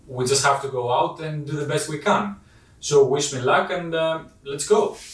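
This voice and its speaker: Speaking in a Greek accent, a man with a fairly high pitch is heard over noticeable background noise and audible room echo. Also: ordinary pitch variation, moderate pace. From Greece. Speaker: photography YouTuber. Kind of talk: vlog intro to camera. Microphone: poor sound quality.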